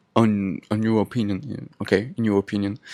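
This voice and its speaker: This man speaks with a French accent. His pitch is fairly low. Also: dry, close sound with no echo. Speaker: podcaster. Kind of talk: casual monologue. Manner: halting.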